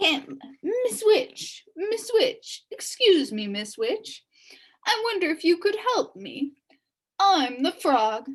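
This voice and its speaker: A woman puts on a character voice at an extremely high pitch, speaking very slowly with very wide pitch swings. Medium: read story. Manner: polite.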